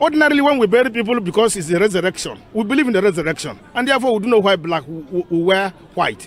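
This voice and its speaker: Very wide pitch swings mark this man's high-pitched, very fast speech. Background noise is noticeable. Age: 60s. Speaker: priest. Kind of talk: interview. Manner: halting.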